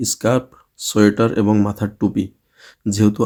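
A man speaks in a fairly low, dark and mellow voice with monotone, flat intonation. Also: very clean recording, silent background. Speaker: YouTube vlogger. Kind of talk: reading aloud a list; casual vlog talk.

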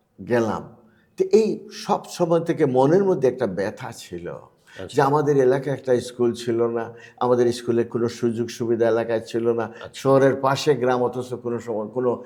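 A man speaks at medium pitch in a dark, mellow tone. The rise and fall of his voice is ordinary. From Bangladesh, Sylhet. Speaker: expatriate philanthropist and school founder. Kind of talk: interview. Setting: studio.

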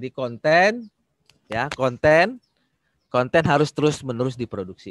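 Over a quiet background, a man talks at a fairly slow pace with lively intonation in a dry sound with no echo. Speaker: social media expert; webinar presenter. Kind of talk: presentation. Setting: video call. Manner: hesitant, many fillers. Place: home room. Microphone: webcam.

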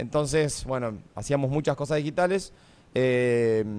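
A man at a fairly high pitch, moderate pace and ordinary pitch variation. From Argentina, La Pampa. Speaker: former reality show contestant; radio guest. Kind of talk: casual chat. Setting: radio studio. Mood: relaxed, smiling. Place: studio. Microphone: studio mic.

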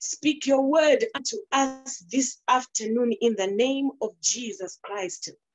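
Faint music sits behind a woman speaking at a high pitch. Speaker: pastor. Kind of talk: prayer then sermon welcome. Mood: fervent, devotional. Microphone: phone near.

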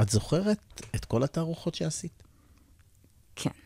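This man's voice is somewhat breathy with a dark, mellow tone, and he talks at a moderate pace. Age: old. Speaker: radio interviewer. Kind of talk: interview conversation. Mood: calm, reflective. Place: studio. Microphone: studio mic.

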